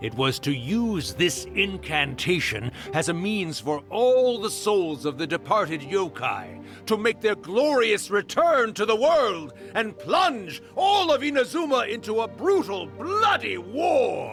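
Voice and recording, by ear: Over faint music in the background, a man puts on a high, fairly bright character voice with big pitch swings, speaking at a slow pace with few pauses.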